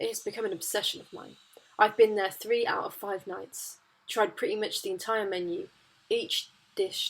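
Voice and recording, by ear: The voice is natural. It is reading aloud.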